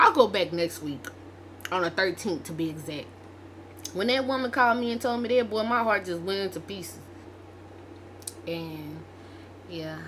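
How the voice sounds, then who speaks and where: Noticeable background noise fills the clip. Through it, a woman speaks at a moderate pace. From Arkansas. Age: 20s. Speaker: vlogger. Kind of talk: casual storytelling vlog.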